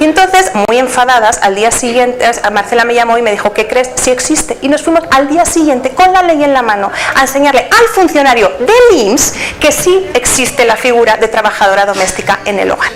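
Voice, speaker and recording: A woman with a Spanish accent speaks at a high pitch with lively intonation and an animated tone. Her pace is fairly quick and her loudness very even, with noticeable background noise. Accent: Spanish (Spain). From Spain. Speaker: book author, researcher. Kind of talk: speech at book presentation.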